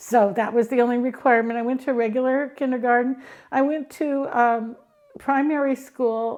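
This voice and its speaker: In an American accent, the words come out at a moderate pace. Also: woman. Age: 60s. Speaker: blind tech expert and educator. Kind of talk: interview. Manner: hesitant with frequent ums.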